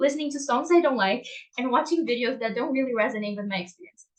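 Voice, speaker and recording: Music plays in the background as a woman speaks at a high pitch with lively intonation. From Brazil. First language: Portuguese. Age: young. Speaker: dark-sky advocate and English teacher. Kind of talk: conference talk.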